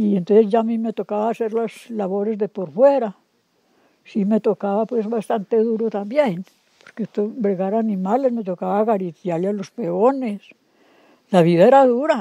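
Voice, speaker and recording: Dark, mellow female speech with ordinary pitch variation. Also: moderate pace. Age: 70s. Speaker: rural woman, kitchen worker. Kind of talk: oral history interview answer.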